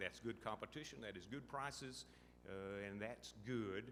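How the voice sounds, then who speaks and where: In an American accent, a man speaks with a bright, sharp tone, vocal fry and ordinary pitch variation, with audible room echo around him. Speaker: state transportation official. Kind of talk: conference panel talk. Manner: slow.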